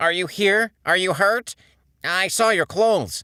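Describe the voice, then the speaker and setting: A put-on character voice at middle pitch and a fairly slow pace, on a very clean recording with a silent background. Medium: read story.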